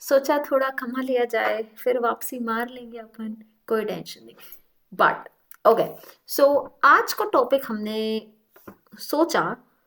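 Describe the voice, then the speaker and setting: Speaking with a Delhi accent, a woman uses a high pitch with ordinary pitch variation, long, frequent pauses and big swings in loudness. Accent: Delhi Hindi. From India, Delhi. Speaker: vlogger. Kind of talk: casual vlog talk. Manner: animated.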